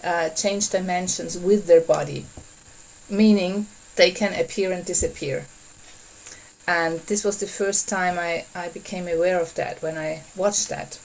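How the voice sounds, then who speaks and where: A non-native accent colors the speech. Delivery is moderate in pace. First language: not English. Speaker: workshop facilitator. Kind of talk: online workshop talk. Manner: halting.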